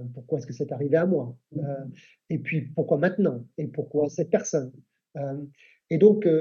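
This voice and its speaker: Moderate pace and ordinary pitch variation from a man, his voice somewhat breathy and fairly high in pitch. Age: 50s. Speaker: Baptist church leader. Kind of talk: casual chat.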